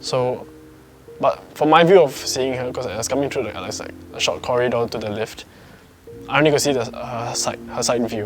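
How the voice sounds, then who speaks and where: The voice moves at a moderate pace with ordinary pitch variation while music plays in the background. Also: man. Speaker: storyteller sharing a personal ghost encounter. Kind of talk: casual personal storytelling to camera.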